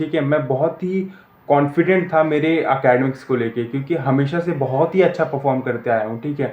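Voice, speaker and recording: Over noticeable background noise, a man speaks at a fairly high pitch with fairly even intonation. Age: 20s. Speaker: student vlogger. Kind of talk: personal vlog. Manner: halting, many fillers and restarts.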